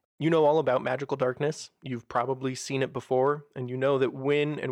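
Here is a man with a plain, everyday voice at a medium pitch and fairly even intonation. He keeps a moderate pace over a quiet background. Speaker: game master running tabletop role-playing game. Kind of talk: tabletop roleplaying game podcast, narrating and hosting.

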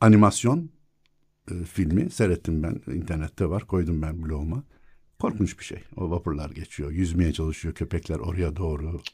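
A man speaks at a moderate pace in a very deep, low voice that is dark, mellow and somewhat breathy, with ordinary pitch variation. The recording is very clean, with a silent background. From Istanbul, Princes' Islands. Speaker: academic and local historian. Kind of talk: casual chat. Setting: studio.

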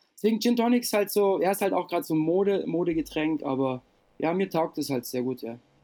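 The voice has a dark, mellow tone, with lively intonation at a very fast pace. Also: man, high pitch for a man. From East Germany, then southern Germany near Lake Constance. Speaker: breakdancer and dance school owner. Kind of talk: casual interview.

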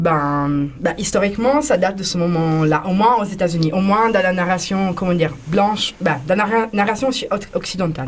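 A medium-pitched woman's voice with an Italian accent over noticeable background noise. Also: ordinary pitch variation, moderate pace. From Italy. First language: Italian (speaking French). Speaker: queer activist in a techno collective. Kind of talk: radio interview. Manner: halting.

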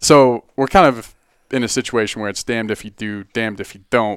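An American-accented man speaks at a moderate pace in an unremarkable speaking voice with fairly even intonation. The recording is very clean, with a silent background and a dry, close sound with no echo. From Boulder, Colorado. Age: 20s. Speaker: outdoor gear company marketing director. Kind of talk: casual interview chat.

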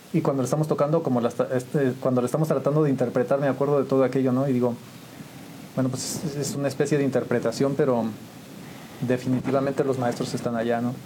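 Very fast and monotone, a man talks at a medium pitch with flat intonation. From Mexico, San Juan del Río, Querétaro. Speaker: musician and photographer. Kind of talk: interview storytelling.

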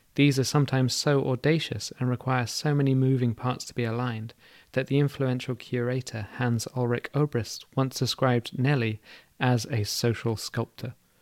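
A man's normal speaking voice at a medium pitch and moderate pace, fairly even in intonation, in a very clean recording with a silent background and a dry, close sound with no echo. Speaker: podcast host. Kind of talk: scripted narration.

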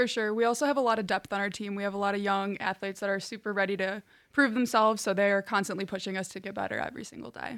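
In a Chicago accent, a woman talks at a very fast pace with hardly any pauses, her medium pitch held in fairly even intonation on a very clean recording with a silent background. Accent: Chicago-area American. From Chicago suburbs, Illinois. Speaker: college volleyball player. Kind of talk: interview.

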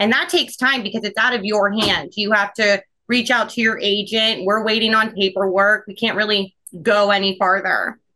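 In a plain, everyday voice, a woman with an American accent speaks at a moderate pace, her pitch fairly high and her intonation fairly even. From Ohio. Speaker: dental front office coach. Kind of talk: casual interview.

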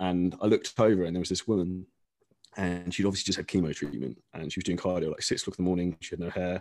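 A man with an English accent and a very deep, low pitch, talking at a very fast pace with fairly even intonation over a quiet background. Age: 30s. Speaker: online fitness coach. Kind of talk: casual interview.

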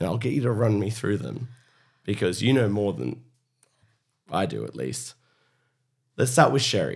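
An Australian-accented man with vocal fry and very wide pitch swings. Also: moderate pace. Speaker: podcast host and spirits educator. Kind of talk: casual chat.

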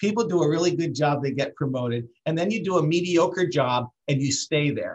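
With a Canadian accent, a man speaks at a moderate pace in a plain, everyday voice, fairly high in pitch with ordinary pitch variation. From Canada (Brantford, Ontario). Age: 50s. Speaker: business founder. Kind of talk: interview.

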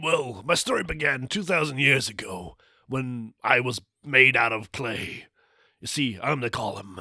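Using a put-on character voice, a man speaks raspily at a medium pitch and a fairly slow pace. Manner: grim, dramatic, vengeful.

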